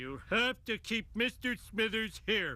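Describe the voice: A man's cartoonish character voice, high-pitched and at a fairly slow pace.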